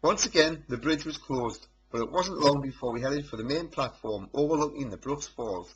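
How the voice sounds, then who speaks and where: A man with a North East England accent speaks in a fairly high, somewhat breathy voice. His intonation is lively and his pace moderate. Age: 30s. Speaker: amateur photographer. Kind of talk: narrated photo slideshow presentation.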